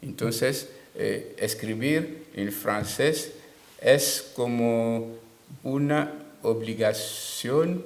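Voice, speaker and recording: Speaking with a Togolese accent at a very slow pace, a man shows ordinary pitch variation amid audible room echo and noticeable background noise. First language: Tem (speaking Spanish). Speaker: writer. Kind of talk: interview. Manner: halting.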